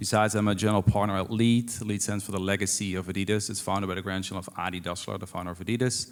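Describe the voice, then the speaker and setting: This man talks at a very fast pace with a fairly low pitch. His intonation is monotone and flat. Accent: Dutch. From Netherlands. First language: Dutch. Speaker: venture investor. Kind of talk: panel discussion. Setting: stage with audience.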